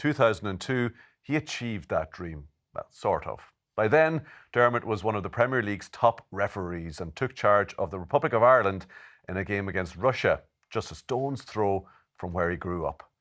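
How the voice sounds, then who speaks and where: Set against a silent background on a very clean recording, a plain, everyday voice carries lively intonation. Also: man, fairly low pitch for a man, moderate pace. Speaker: sports presenter. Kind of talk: podcast interviewer.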